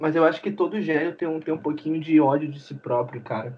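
The voice is an unremarkable speaking voice with ordinary pitch variation. The pace is moderate. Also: man. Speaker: podcast co-host. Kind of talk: casual chat.

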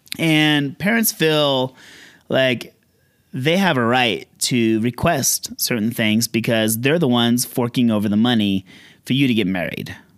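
An unremarkable speaking voice, this man's medium pitch, ordinary pitch variation and very even loudness unfold at a fairly slow pace. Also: very clean recording, silent background. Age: 40s. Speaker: elopement photographer. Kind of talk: solo podcast monologue. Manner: casual, conversational.

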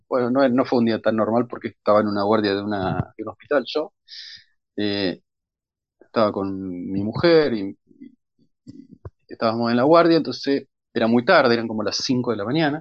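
A man at medium pitch and a moderate pace, with ordinary pitch variation and long, frequent pauses. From Argentina, Bahía Blanca. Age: 40s. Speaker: crime novelist. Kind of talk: interview.

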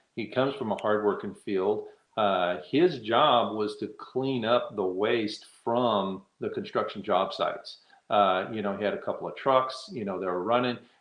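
A man with an American accent, medium pitch, ordinary pitch variation and a moderate pace. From Texas. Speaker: hemp building entrepreneur. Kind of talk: interview. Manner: halting, many fillers.

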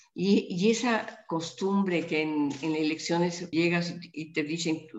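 A woman with a fairly low pitch and ordinary pitch variation speaks with audible room echo. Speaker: politician. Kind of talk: interview. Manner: halting.

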